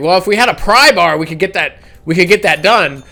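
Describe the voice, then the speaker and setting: A man puts on a character voice, raspy and high-pitched, raised and projected. He moves at a fairly quick pace with lively intonation. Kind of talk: casual, plain-spoken.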